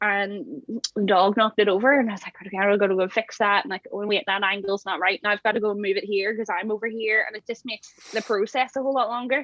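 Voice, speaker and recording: A woman's very fast, medium-pitched speech in a Belfast accent. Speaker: campervan converter and social media creator. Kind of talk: casual chat.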